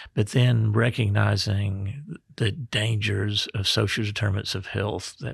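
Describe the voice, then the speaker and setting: With a Mississippi accent and vocal fry, a man speaks at a fairly slow pace. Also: very clean recording, silent background. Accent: Southern US (Mississippi). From Mississippi Delta. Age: 60s. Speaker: state health officer, physician. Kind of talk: podcast interview.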